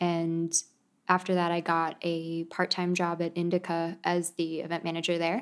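Monotone, flat intonation at a moderate pace, with very even loudness on a very clean recording against a silent background. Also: woman, fairly low pitch for a woman. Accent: American. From United States. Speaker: events manager. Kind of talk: casual interview chat.

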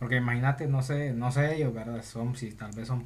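The speech is somewhat breathy and fairly quick, with monotone, flat intonation and audible room echo. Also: man. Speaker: podcast co-host. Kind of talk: casual chat.

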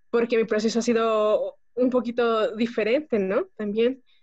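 A woman with a plain, everyday voice speaks at a fairly slow pace and a fairly high pitch, keeping her intonation fairly even. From Mexico, Pachuca, Hidalgo. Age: 20s. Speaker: homemaker. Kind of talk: testimony.

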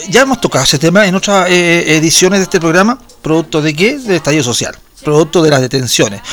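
Over noticeable background noise, a high-pitched man speaks at a very fast pace with lively intonation. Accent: Chilean. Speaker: radio host. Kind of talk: casual chat. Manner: animated; halting.

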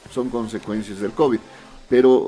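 At a fairly quick pace, a man talks at a medium pitch in a plain, everyday voice. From Bolivia, Potosí. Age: 40s. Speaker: foundation director and politician. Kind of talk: casual interview. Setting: radio studio.

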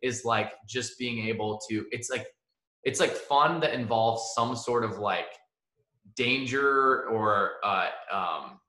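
With audible room echo, a man speaks very slowly in a bright, sharp tone and fairly even intonation. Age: young. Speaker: podcast host. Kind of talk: casual chat.

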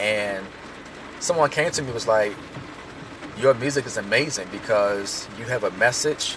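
Noticeable background noise sits behind a man speaking at a moderate pace with ordinary pitch variation. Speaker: hip hop artist and music teacher. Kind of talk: casual monologue.

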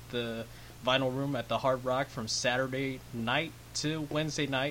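Using an ordinary speaking voice, a man with an American accent talks at a moderate pace with fairly even intonation. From California. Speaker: podcast host. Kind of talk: casual chat. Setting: home studio.

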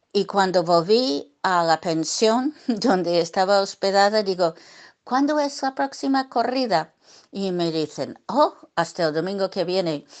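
Against a quiet background, a woman with an English accent speaks at a medium pitch. Her pace is fairly slow and her intonation lively. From US, Brooklyn, New York. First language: English (speaking Spanish). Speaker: bullfighting journalist and writer. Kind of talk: interview. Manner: hesitant with many fillers.

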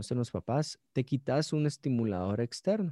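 Against a quiet background, a man with a Guatemalan accent speaks in a dark, mellow tone with a dry, close sound and no echo. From Guatemala, Guatemala City. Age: 30s. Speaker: pastor. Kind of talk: casual chat.

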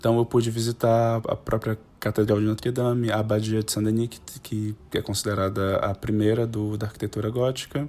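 Speaking fairly quickly, a man with a dark, mellow tone holds a medium pitch in a monotone, flat delivery. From Ceará, Brazil (Fortaleza). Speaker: translation studies researcher. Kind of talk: academic talk about own research. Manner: halting, with frequent repetitions.

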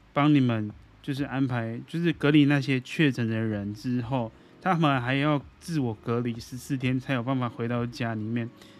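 The man talks at a moderate pace and medium pitch, keeping his intonation fairly even. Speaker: podcast host. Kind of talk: casual monologue. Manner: halting.

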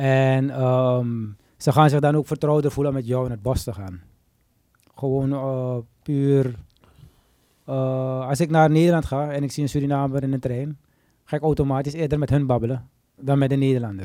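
At a moderate pace broken by long, frequent pauses, a medium-pitched man speaks with fairly even intonation and a dark, mellow tone. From Suriname. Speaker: podcast host. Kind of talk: casual interview chat. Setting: studio.

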